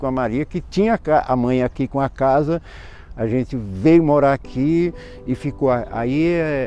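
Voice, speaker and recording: In a dark, mellow tone, a man speaks fairly slowly. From Brazilian Northeast (Pernambuco, Alagoas interior). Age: 60s. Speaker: cordel poet. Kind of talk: interview. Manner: halting, many false starts.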